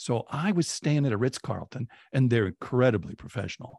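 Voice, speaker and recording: Against a quiet background, a man with an American accent speaks with lively intonation, and the sound is dry and close with no echo. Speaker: advertising creative and online storyteller. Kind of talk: interview conversation. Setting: video call.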